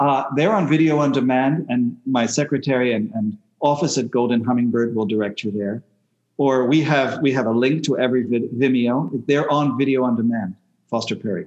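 A normal speaking voice from a man, medium in pitch, with ordinary pitch variation and a moderate pace. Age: 60s. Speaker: shamanic healer. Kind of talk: interview.

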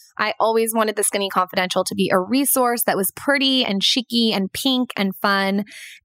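This is an unremarkable speaking voice with ordinary pitch variation at a moderate pace. The sound is dry and close with no echo, and the recording is very clean with a silent background. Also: woman. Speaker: blogger and podcaster, brand founder. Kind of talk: recorded podcast contribution, advice talk.

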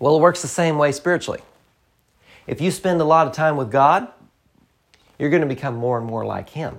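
A man with a Southern US accent speaks at a fairly quick pace with long, frequent pauses. His pitch is fairly high, with ordinary variation. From US South, rural. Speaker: preacher, podcast host. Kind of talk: sermon.

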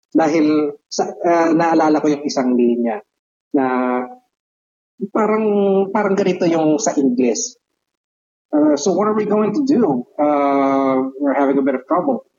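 Pausing long and often, a man talks at a fairly slow pace with a fairly high pitch and lively intonation. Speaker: podcast co-host. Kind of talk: casual chat.

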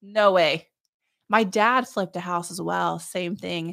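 In a very clean recording with a silent background, the words come out at a fairly slow rate. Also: woman. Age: 30s. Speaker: realtor. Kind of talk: casual chat.

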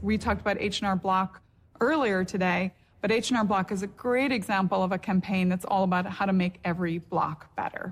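A woman's somewhat breathy voice at medium pitch, fairly quick in pace, with ordinary pitch variation. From Northern Ireland. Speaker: company executive. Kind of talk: corporate presentation.

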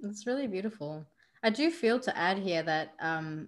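A woman talks with an Australian accent and ordinary pitch variation. The recording is very clean, with a silent background. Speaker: spiritual coach. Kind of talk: interview.

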